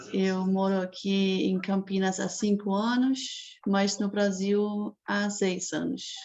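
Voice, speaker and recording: A woman with a German accent speaks at a very slow pace and medium pitch, in a flat monotone with hardly any pauses, over noticeable background noise. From Germany. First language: German (speaking Portuguese). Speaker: prospective adoptive parent. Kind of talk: online group meeting.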